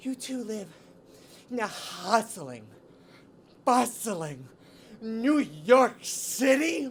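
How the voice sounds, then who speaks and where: In a put-on character voice, a female-sounding speaker talks at a very slow pace with a fairly high pitch and long, frequent pauses. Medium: comedy sketch. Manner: grandiose, theatrical.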